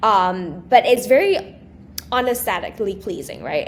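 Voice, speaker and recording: A woman with a non-native accent at a moderate pace. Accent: non-native accent, noticeable. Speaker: small business entrepreneur and social media creator. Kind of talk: podcast interview.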